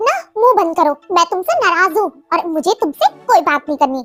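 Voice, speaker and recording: Over faint music in the background, a woman puts on a squeaky character voice and talks at a fairly quick pace. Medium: read story. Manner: warm, teasing.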